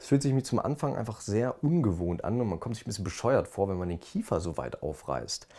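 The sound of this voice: The voice has a dark, mellow tone with vocal fry and big pitch swings, moving at a fairly quick pace with few pauses. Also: man.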